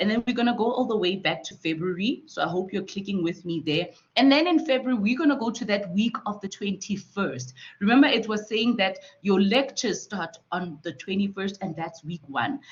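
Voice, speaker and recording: A woman talks at a fairly quick pace with lively intonation. Her voice is somewhat breathy. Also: medium pitch for a woman. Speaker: student support facilitator. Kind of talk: online tutorial.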